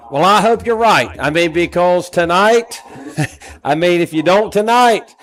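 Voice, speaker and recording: Music plays in the background as a man with an American accent speaks at a high pitch with ordinary pitch variation. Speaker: high school softball color commentator. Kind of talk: live sports commentary.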